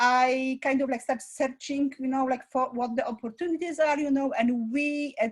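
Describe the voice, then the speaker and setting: A woman with a non-native accent speaks at a high pitch and a moderate pace. Her intonation is monotone and flat. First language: not English. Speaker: school founder and director; parent. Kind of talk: interview. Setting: live online presentation. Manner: halting, many fillers.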